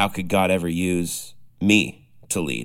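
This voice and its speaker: A man with a very deep, low pitch talks at a very slow pace with ordinary pitch variation. The recording is very clean, with a silent background. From Canada. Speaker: podcast host. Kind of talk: casual interview chat. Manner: friendly, upbeat.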